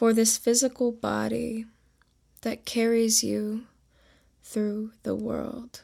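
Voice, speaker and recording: Very slowly, a woman speaks in a soothing, calm tone. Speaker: meditation guide podcast host. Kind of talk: guided meditation. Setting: solo podcast recording. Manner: slow, soothing, calm; instructive, gentle, unhurried.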